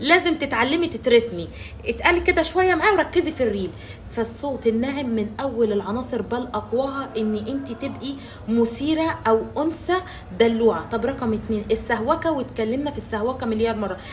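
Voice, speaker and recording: A woman speaks loudly at a moderate pace in an Egyptian accent, her pitch high and her intonation lively. Noticeable background noise runs behind her. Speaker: social media relationship coach. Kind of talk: advice monologue to camera. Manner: loud, emphatic.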